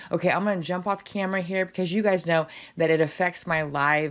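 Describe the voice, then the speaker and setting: At a fairly quick pace, a woman speaks. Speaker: software trainer. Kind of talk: live stream tutorial. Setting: live stream. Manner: fast; animated. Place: home room.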